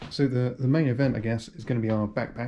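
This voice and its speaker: A man mumbles at a medium pitch. His pitch varies in an ordinary way. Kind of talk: casual talk to camera. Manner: mumbling.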